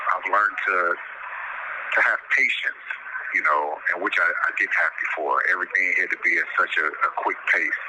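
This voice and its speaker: A man speaks with an American accent at very even loudness. Noticeable background noise is present. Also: moderate pace. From Chicago. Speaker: incarcerated man. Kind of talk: interview. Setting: phone call. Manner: halting.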